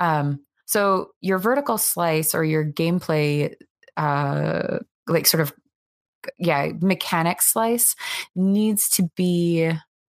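On a very clean recording with a silent background, a woman with a fairly low pitch and ordinary pitch variation speaks in an unremarkable speaking voice. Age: 30s. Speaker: indie game studio co-founder handling business. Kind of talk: interview.

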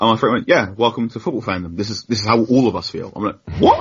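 Talking very rapidly, a man's voice comes across somewhat breathy. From London. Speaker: journalist. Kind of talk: casual chat.

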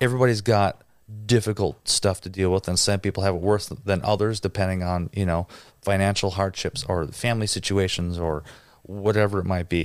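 On a very clean recording with a silent background, a man with an ordinary speaking voice talks at a fairly quick pace in a fairly low pitch, with fairly even intonation. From Wisconsin, near Green Bay. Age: 30s. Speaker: drummer and producer. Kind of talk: casual interview chat. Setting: studio.

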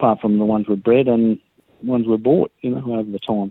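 Speaking with an Australian accent, a man has a fairly low voice. His intonation stays fairly even. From Sydney, Australia (Balmain). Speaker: racehorse trainer. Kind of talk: interview. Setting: phone call.

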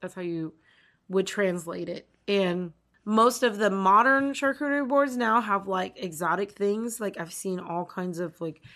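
Over a quiet background, a woman speaks in an ordinary speaking voice at a medium pitch and a moderate pace. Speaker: podcast host. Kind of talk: casual chat. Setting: remote recording.

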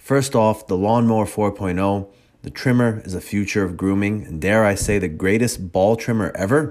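A man speaks in an ordinary speaking voice at a fairly low pitch and a moderate pace. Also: ordinary pitch variation. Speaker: jiu-jitsu podcast host and gym owner. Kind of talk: casual interview chat.

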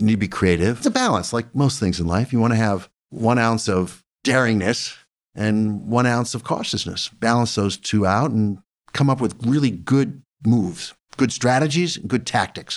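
A man talks at a moderate pace with a medium pitch and ordinary pitch variation. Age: 60s. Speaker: business founder and executive chairman. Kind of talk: casual interview conversation. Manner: energetic, animated.

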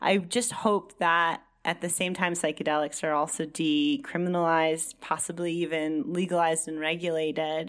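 A woman talks at a moderate pace in a normal speaking voice, fairly low in pitch. She leaves hardly any pauses. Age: 30s. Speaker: psychedelic journalist and author. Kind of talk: casual chat.

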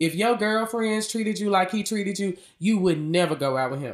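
In a Memphis accent, a woman speaks at a moderate pace with lively intonation and an animated tone. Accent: Southern US, Memphis. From US South, Memphis, Tennessee. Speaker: podcast host, realtor, singer-songwriter. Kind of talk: casual monologue.

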